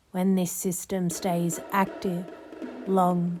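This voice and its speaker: Music plays behind a very slow voice with monotone, flat intonation. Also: woman. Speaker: hypnotist. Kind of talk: hypnosis session. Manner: flat, unmelodic, no emotional tone; slow, rhythmic.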